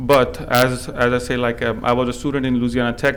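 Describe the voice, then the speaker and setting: A man's medium-pitched voice at a moderate pace, with noticeable background noise. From India. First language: not English; English is his third language. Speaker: small business owner. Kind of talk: public hearing testimony. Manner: halting, many fillers.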